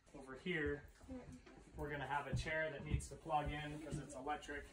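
A man over loud background noise. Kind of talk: tutorial. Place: home room. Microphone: phone near.

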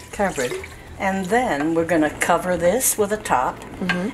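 Speech comes at a very slow pace over noticeable background noise. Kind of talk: cooking tutorial. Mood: warm, relaxed, amused. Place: kitchen. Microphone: camera far.

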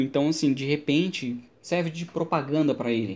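A man speaks with a Brazilian accent at a fairly slow pace. His pitch is fairly high, and his tone is dark and mellow. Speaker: Linux instructor and tech YouTuber; Linux instructor, tech YouTuber. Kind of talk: tech commentary video. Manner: casual, conversational. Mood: relaxed, enthusiastic. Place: home room. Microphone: studio mic.

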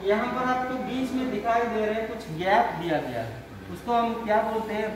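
A man speaks at a fairly slow pace in a high voice. Audible room echo and noticeable background noise fill the recording. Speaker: vocational trainee or instructor. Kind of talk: lecture. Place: classroom. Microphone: camera far.

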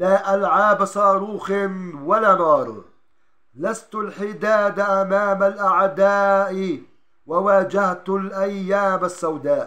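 A raised, projected voice with a bright, sharp tone and fairly even intonation at a very slow pace, over a quiet background. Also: man, high pitch for a man. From Palestine. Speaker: journalist. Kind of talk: poetry reading. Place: home room. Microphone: phone near.

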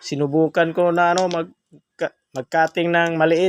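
Heard in a dry, close sound with no echo, a man with a fairly high pitch speaks in an animated tone at a fairly slow pace. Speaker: stone collector vlogger. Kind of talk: sales pitch showing stones to camera. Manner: animated, repetitive hype, praising each stone as sulit and napakaganda; addresses viewers as guys, punctuated by hmm sounds and laughs.

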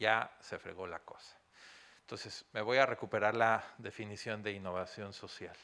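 Here a man with a fairly low pitch and a bright, sharp tone talks at a moderate pace. His intonation is fairly even, though his loudness swings a lot. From Mexico. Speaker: business consultant and university lecturer. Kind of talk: lecture. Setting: stage with audience.

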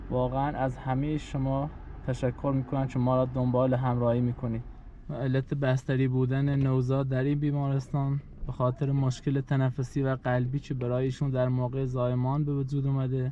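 Over light background noise, a man speaks at a moderate pace in a flat monotone with very even loudness and a dry sound with no echo. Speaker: family vlogger. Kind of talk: casual vlog chat. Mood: worried, earnest.

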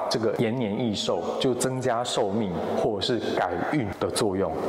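Moderate pace from a man, very even loudness and ordinary pitch variation, with audible room echo and noticeable background noise. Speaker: adventure video host. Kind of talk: explanatory commentary to camera. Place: hall.

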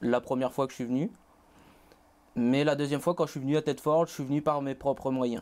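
The intonation of this man's speech is fairly even. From Réunion, Saint-Pierre; Réunion. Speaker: college student; interview guest. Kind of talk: interview. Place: studio. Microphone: lapel.

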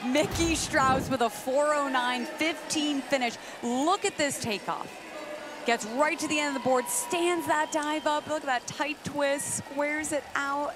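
With music in the background, a woman speaks at a fairly slow pace in a high pitch with ordinary pitch variation. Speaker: sports commentator and interviewer. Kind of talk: live sports commentary. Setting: swimming and diving arena broadcast.

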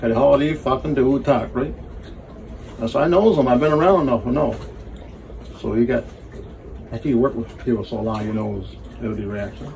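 A man with a strong Newfoundland accent talks at a fairly quick pace and medium pitch, with ordinary pitch variation, long, frequent pauses and light background noise. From Newfoundland, Canada (Burgeo); Newfoundland, Canada. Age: 70s. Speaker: sailor. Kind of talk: casual storytelling chat; casual storytelling. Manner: halting, repetitive. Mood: animated, blunt storytelling. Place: boat. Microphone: phone near.

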